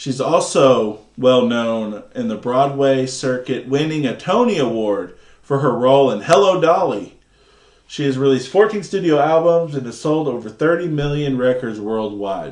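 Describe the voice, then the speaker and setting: With lively intonation and a fairly high pitch, a man speaks at a moderate pace in a room with audible echo. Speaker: movie review podcast host. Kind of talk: casual chat. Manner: halting.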